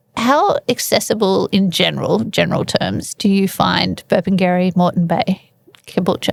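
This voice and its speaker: A woman with an Australian accent, moderate pace and very even loudness, in a dry, close sound with no echo. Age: 40s. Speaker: podcast host. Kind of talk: casual interview chat.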